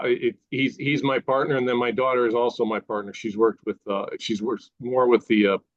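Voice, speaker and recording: A man with a medium pitch at a moderate pace, an ordinary speaking voice. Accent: American. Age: 60s. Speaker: toy designer and inventor. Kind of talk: interview.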